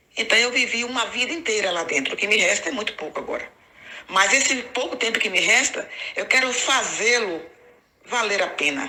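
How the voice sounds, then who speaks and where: A woman talks at a moderate pace in an ordinary speaking voice, her pitch fairly high. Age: 60s. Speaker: ex-Jehovah's Witness YouTuber. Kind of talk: personal testimony to camera.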